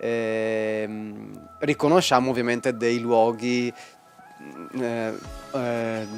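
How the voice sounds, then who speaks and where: With music in the background, a man of medium pitch speaks in a Venetian accent at a very slow pace, leaving long, frequent pauses and keeping his intonation fairly even. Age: young. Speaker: illustrator. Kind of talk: interview answer.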